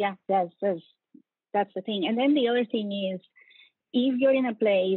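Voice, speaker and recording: A woman speaks in a Latin American accent with ordinary pitch variation. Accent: noticeable Latin American Spanish. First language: Spanish. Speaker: bank security executive. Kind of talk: interview. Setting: video call.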